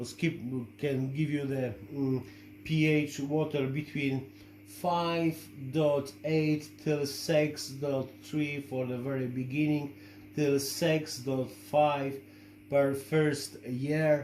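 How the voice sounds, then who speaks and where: A man's fairly high-pitched voice with a Polish accent, very slow pace and fairly even intonation, amid audible room echo and noticeable background noise. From Poland. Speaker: shrimp-keeping hobbyist and video creator. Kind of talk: product review tutorial. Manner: halting, many fillers.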